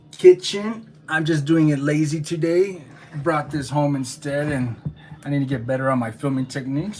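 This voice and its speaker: The speaker has an animated tone at a moderate pace. Noticeable background noise is present. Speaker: beekeeper. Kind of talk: casual tutorial. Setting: home kitchen. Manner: usually too quiet, trying to be louder; casual, animated.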